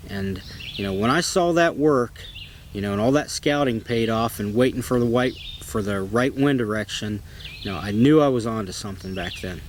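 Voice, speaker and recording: Amid noticeable background noise, a man with an American accent talks at a moderate pace and a medium pitch. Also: ordinary pitch variation. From Ohio, US Midwest. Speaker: bowhunter. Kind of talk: personal storytelling. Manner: casual, with filler words.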